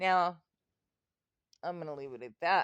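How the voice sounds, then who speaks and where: A woman speaks at a moderate pace with ordinary pitch variation. The sound is dry and close, with no echo. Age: 60s. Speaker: video blogger. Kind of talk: casual vlog monologue. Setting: in bed at home. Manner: halting, with fillers.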